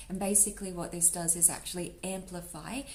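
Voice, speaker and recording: A woman speaks at a fairly low pitch, with audible room echo. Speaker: tarot reader. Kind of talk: tarot reading. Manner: fast; animated.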